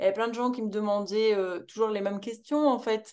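A woman speaks with a fairly high pitch. The variation in her pitch is ordinary. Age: 20s. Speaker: entrepreneur. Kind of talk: casual chat.

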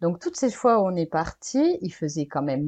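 Against a quiet background, a woman with a dark, mellow tone talks at a fairly slow pace with ordinary pitch variation. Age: 20s. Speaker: digital nomad, freelance web writer. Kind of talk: casual interview.

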